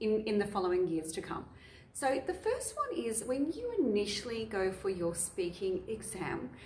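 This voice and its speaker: A woman with an Australian accent speaks at a fairly slow pace, her pitch swinging very widely over noticeable background noise. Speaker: English teacher. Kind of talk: tutorial.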